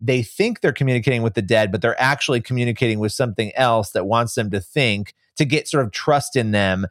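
On a very clean recording with a silent background, a man talks at a very fast pace and a medium pitch, with ordinary pitch variation and a dry, close sound with no echo. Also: very even loudness. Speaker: author and investigative journalist. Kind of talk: casual interview chat.

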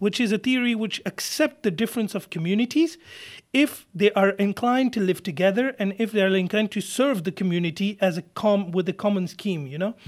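Over a very clean recording with a silent background, a man speaks fairly quickly at a high pitch. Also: ordinary pitch variation. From France, Paris suburbs. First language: French. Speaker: lawyer. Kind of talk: interview. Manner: halting.

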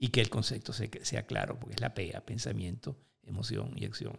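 A man speaks with vocal fry. The recording is very clean, the background silent. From Venezuela, Lara state. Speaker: motivational speaker. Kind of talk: interview.

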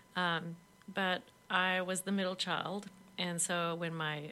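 A woman with a fairly low pitch speaks in a bright, sharp tone, her intonation monotone and flat. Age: 50s. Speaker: author, former teacher. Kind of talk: interview.

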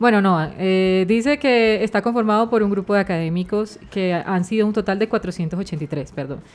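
On a very clean recording with a silent background, a woman speaks at a moderate pace and a medium pitch with lively intonation. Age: 20s. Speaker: journalist and podcast co-host. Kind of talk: casual chat.

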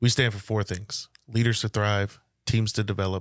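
The speaker has a Louisiana accent and monotone, flat intonation. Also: man, very clean recording, silent background. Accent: Southern US (Louisiana). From northeast Louisiana (Monroe). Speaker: business coach, podcaster. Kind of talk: casual chat. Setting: studio.

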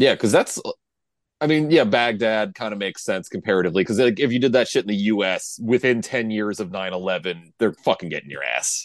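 A man speaks fairly quickly in an ordinary speaking voice, fairly low in pitch. His intonation is lively, and the background is quiet. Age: 30s. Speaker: podcast co-host. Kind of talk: casual chat.

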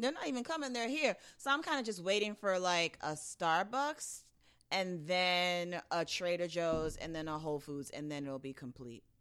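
A woman in a New York accent, with very wide pitch swings. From Brooklyn, New York. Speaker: podcast host. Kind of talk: casual chat.

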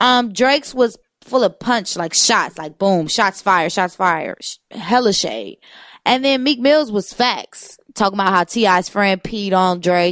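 The woman's voice is unremarkable and sits at a medium pitch. Her intonation is lively while her pace stays fairly slow. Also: very clean recording, silent background. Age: 20s. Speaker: radio show co-host. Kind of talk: casual chat.

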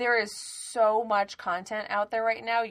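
An animated voice with an American accent at a moderate pace, on a very clean recording with a silent background. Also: woman. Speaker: podcast co-host, works in television. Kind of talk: casual chat. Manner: loud.

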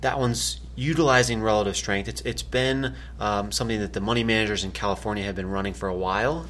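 A man's fairly low voice with very wide pitch swings and vocal fry. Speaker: investment analyst. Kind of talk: casual market commentary podcast.

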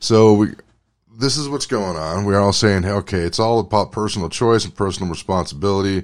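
In a very clean recording with a silent background, a man uses an ordinary speaking voice, fairly low in pitch, at a fairly quick pace with ordinary pitch variation. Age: 40s. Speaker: podcast host and aspiring stand-up comedian. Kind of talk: casual solo monologue.

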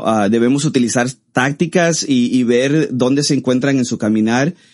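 Speaking at a moderate pace, a man with an ordinary speaking voice has a medium pitch and ordinary pitch variation. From Costa Rica. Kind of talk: interview.

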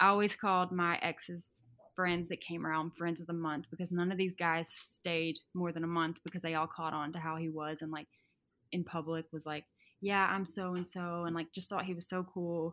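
In a Southern US accent, a woman speaks at a moderate pace with a fairly low pitch, a bright, sharp tone and monotone, flat intonation, on a very clean recording with a silent background. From Arkansas. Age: 20s. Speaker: guest sharing story. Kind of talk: personal storytelling in interview.

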